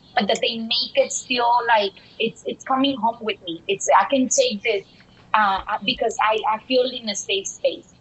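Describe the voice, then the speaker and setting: A woman speaks at a moderate pace with a Mexican accent. Her pitch is high. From Dallas, Texas, partly raised in Mexico. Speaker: bilingual education consultant. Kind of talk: interview. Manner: animated.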